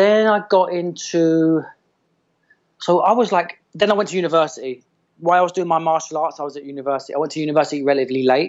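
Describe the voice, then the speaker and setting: A man with an English accent talks at a very fast pace, his fairly high voice showing ordinary pitch variation. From England. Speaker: massage therapist and movement coach. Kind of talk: casual chat.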